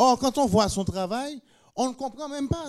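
A man is speaking. His pace is fairly slow. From Haiti. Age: 50s. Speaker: painter. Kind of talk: public panel talk. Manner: halting.

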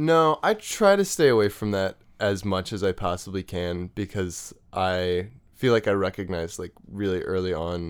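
Recorded very cleanly against a silent background, a man with an American accent speaks at a moderate pace. He has a normal speaking voice, fairly low in pitch, with ordinary pitch variation. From Virginia, US. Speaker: musician and writer. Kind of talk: casual chat.

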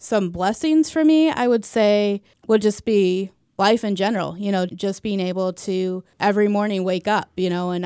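Against a silent background on a very clean recording, a woman with a Midwestern American accent speaks at a moderate pace in a dark, mellow tone. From US Midwest, St. Louis, Missouri. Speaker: nurse. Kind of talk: casual interview testimony.

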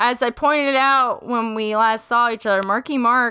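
A woman with a fairly high pitch, an animated tone, ordinary pitch variation and a moderate pace. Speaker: podcast co-host. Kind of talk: casual chat. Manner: jokey, animated.

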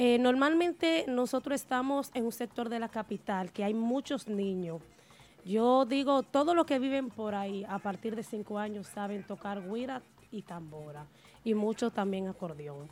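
A woman with a plain, everyday voice, fairly high in pitch, fairly slow in pace, with lively intonation. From Dominican Republic, Río San Juan, Nagua. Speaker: merengue típico musician. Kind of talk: interview. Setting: studio.

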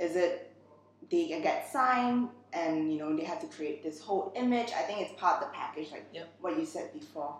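Amid noticeable background noise and audible room echo, a woman with a medium pitch talks at a moderate pace, her pitch swinging very widely and her loudness rising and falling sharply. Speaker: podcast host. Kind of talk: casual interview chat.

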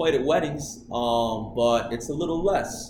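Speaking fairly slowly with an American accent, a man uses a medium pitch against noticeable background noise. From Michigan, US (Okemos). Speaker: podcast guest. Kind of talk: casual chat.

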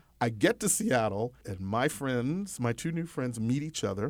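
An ordinary speaking voice from a man with an American accent, moderate pace and lively intonation, on a very clean recording with a silent background. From Texas, US. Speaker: comedian and podcast host.

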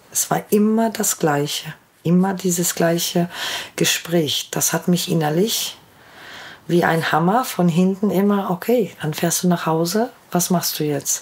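A woman speaks in a plain, everyday voice. Her pitch is fairly low, with ordinary pitch variation, and her pace is fairly slow. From Ruhr area, Germany. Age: 40s. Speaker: vaccine injury sufferer. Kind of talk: personal testimony.

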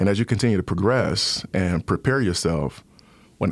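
A man with an American accent, very deep and low in pitch, talking at a fairly quick pace. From Detroit, Michigan. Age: 40s. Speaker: school superintendent. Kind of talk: interview.

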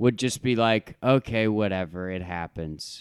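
Delivered at a fairly slow pace, the voice has a dry, close sound with no echo in a very clean recording with a silent background. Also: man. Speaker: podcast co-host. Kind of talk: casual chat.

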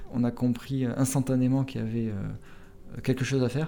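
This man's voice has a dark, mellow tone. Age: 30s. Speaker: startup founder and CEO. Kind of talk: interview. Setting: in person in Montpellier. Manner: halting, many fillers and repetitions.

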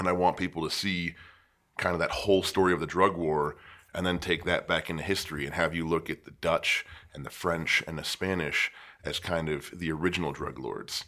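On a very clean recording with a silent background, a man with a very deep, low pitch speaks at a fairly quick pace in a bright, sharp tone with flat, monotone intonation. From western Pennsylvania, east of Pittsburgh. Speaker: poet and teacher. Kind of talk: casual interview chat. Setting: studio.

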